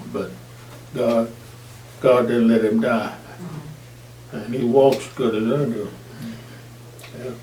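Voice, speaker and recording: A man with a Southern US accent speaks at a medium pitch and a very slow pace, with long, frequent pauses and fairly even intonation. Noticeable background noise sits behind him. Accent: Southern American. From Arkansas. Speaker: Air Force veteran, firefighter; preacher. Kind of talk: interview answer.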